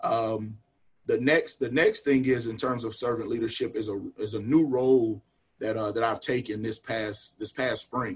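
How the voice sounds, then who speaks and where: With a Southern US accent, a man of medium pitch speaks at a moderate pace, somewhat breathy, with fairly even intonation. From North Carolina (Union County, near Charlotte). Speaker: college football coach. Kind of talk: casual talk on video call.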